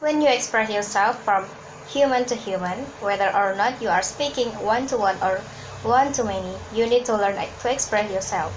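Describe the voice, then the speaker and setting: There's noticeable background noise and audible room echo. A woman talks fairly quickly in a fairly high pitch with ordinary pitch variation. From Hong Kong. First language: Cantonese. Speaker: podcast host and speaking coach. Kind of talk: motivational tutorial. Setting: outdoors walking in a park. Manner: slight stammering on words.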